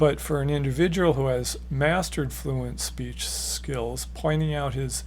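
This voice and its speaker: In a room with audible echo, a man speaks very slowly in a flat, monotone intonation. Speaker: author and educator on stuttering therapy. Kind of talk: educational talk. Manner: repetitions and slight disfluencies.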